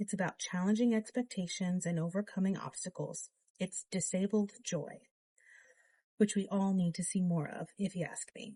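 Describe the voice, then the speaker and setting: A soft-spoken woman talks in a dark, mellow, somewhat breathy tone with fairly even intonation. Her voice sounds dry and close, with no echo. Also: medium pitch for a woman, moderate pace. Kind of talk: audiobook reading.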